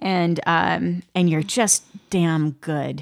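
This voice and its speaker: A woman's fairly low-pitched voice. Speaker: podcast host. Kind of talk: casual interview chat. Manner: animated.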